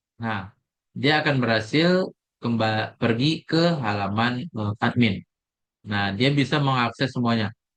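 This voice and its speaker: Here a man speaks at a fairly slow pace. His pitch is medium, with ordinary pitch variation. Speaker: programming tutor. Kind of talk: screen-recorded coding tutorial. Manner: halting with fillers; soft-spoken.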